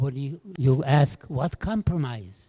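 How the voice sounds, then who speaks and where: Somewhat breathy and dark, mellow in tone, a man's fairly high voice shows lively intonation in a dry, close recording with no echo. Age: 80s+. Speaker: Holocaust survivor speaker. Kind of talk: testimony.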